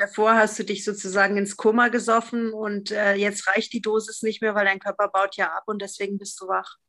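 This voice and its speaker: With a bright, sharp tone, a woman speaks at medium pitch and a moderate pace, her intonation monotone and flat and hardly any pauses in between. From Freiburg, southwestern Germany. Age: 50s. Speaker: podcast guest, recovering drinker. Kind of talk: casual interview conversation.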